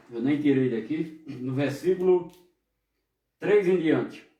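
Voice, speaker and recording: Against audible room echo, a man talks at a fairly slow pace with lively intonation. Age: 60s. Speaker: pastor. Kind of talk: sermon. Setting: online service broadcast.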